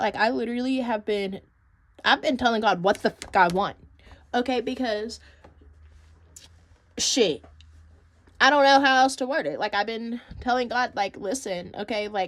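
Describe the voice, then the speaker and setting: With an animated tone and a high pitch, a woman talks at a moderate pace, leaving long, frequent pauses. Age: 20s. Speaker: lifestyle vlogger. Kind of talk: casual chat.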